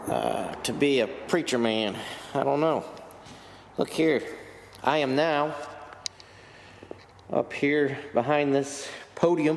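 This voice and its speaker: A man speaks at a very slow pace and a fairly high pitch, with long, frequent pauses. Background noise is noticeable. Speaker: motorcycle vlogger. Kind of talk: casual vlog narration. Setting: outdoors. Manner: occasional stuttering; casual, animated.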